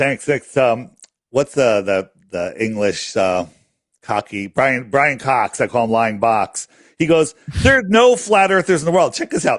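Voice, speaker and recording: A man at medium pitch with very wide pitch swings, a fairly slow pace, and a dry, close sound with no echo against a quiet background. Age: 60s. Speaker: flat earth app creator. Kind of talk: casual chat.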